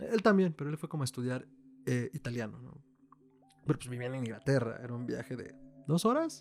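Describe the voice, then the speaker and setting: A man with a Mexican accent speaks at a medium pitch, leaving long, frequent pauses. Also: ordinary pitch variation, big swings in loudness. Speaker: podcast co-host. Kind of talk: casual chat.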